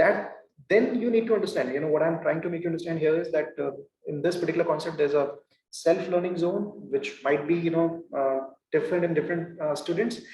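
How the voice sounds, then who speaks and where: Very fast and high-pitched, a man talks with audible room echo around him. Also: ordinary pitch variation. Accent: Indian. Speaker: professor. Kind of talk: lecture. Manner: halting, many fillers.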